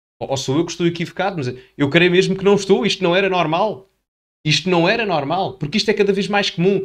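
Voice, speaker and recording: Very fast speech from a man, high-pitched for a man, with ordinary pitch variation. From Portugal. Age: 20s. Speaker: political commentator youtuber. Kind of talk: video commentary. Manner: animated.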